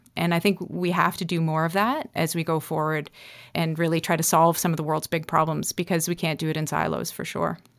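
A woman speaks with a Canadian accent at a fairly quick pace, her pitch fairly low. Her intonation is monotone and flat, and the recording is very clean with a silent background. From Northern Ontario, Canada (North Bay). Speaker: tech entrepreneur and former Olympian. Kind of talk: interview conversation.

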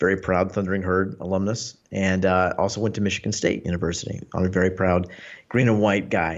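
The speaker has a Mid-Atlantic accent and fairly even intonation. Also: man. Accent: American, Mid-Atlantic. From US, Northern Virginia (Washington D.C. area). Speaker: Paralympic fencer and tech writer. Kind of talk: casual chat.

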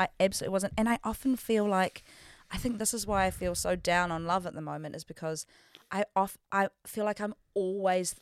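Dry, close sound with no echo, and a woman talking at a moderate pace. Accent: New Zealand. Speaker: podcast co-host. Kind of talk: casual chat. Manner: animated.

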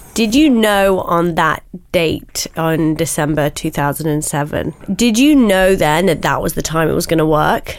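At a moderate pace, a woman talks in a normal speaking voice with fairly low pitch and ordinary pitch variation. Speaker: podcast host. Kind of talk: interview, podcast conversation.

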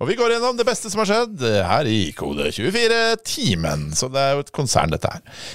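A man at a moderate pace, big swings in loudness, hardly any pauses. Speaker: tech podcast host. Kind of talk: casual chat.

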